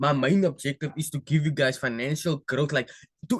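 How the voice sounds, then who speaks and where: A man speaks at a fairly high pitch and a fairly quick pace. His voice is somewhat breathy, recorded dry and close with no echo. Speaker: forex trading educator. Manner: fast; casual.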